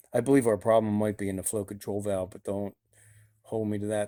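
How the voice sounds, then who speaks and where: A man talks at a fairly quick pace in a fairly low, dark, mellow voice. His intonation is monotone and flat, with big swings in loudness. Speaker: car hobbyist video host. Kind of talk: garage tutorial. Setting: home garage. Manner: casual, hesitant with fillers.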